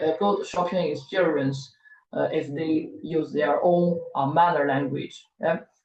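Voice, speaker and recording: With a Chinese accent, a woman talks at a fairly slow pace. Her pitch sits very deep and low. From China. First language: Mandarin Chinese. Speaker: professor. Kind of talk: lecture. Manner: halting, many fillers and repeats.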